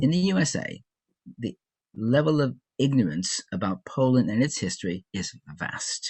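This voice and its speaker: This man has an American accent and a somewhat breathy voice. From US Midwest, Chicago. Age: 70s. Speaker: social activist. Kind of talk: interview. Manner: halting, with fillers and restarts.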